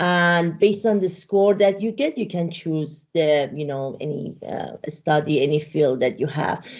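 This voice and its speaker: With a Persian accent, a woman talks at a fairly slow pace in a very deep, low pitch with ordinary pitch variation and hardly any pauses against a quiet background. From Iran. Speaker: data and AI consultant, speaker; speaker. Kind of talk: interview chat; interview answer. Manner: halting, many fillers. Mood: relaxed, friendly. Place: home room. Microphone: video call.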